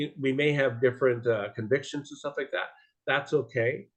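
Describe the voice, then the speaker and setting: Over a quiet background, a man with a medium pitch and a somewhat breathy voice speaks at a moderate pace. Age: 60s. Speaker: support group co-host. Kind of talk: casual livestream introduction. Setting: video call. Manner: halting.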